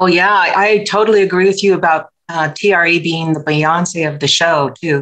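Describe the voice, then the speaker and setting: The woman's voice has a bright, sharp tone. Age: 60s. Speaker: health coach, retired nurse. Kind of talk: podcast interview.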